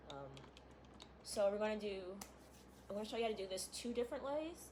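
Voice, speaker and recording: A woman's voice at a medium pitch, with ordinary pitch variation. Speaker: gaming content creator. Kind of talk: tutorial. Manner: fast; casual, filler-heavy.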